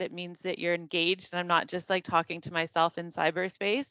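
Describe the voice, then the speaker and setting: A fairly quick pace in a Canadian accent. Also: woman. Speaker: workplace safety webinar presenter. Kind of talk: webinar presentation. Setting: online webinar. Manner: loud; animated.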